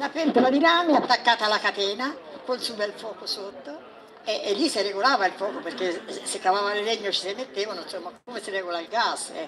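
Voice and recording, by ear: Fast, fairly bright speech with few pauses and ordinary pitch variation, over faint crowd noise and faint background noise. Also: woman, medium pitch for a woman.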